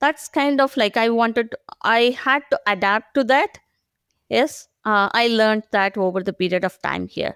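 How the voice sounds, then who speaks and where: With an Indian accent, a woman speaks at a moderate pace and fairly high pitch with ordinary pitch variation, in a dry, close sound with no echo. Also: very clean recording, silent background. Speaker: agile professional. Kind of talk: podcast interview. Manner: hesitant, many fillers.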